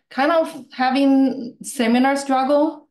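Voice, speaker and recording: Speaking at a very slow pace, a woman talks with a Chinese accent. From China. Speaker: improv student and meetup speaker. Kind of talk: casual chat.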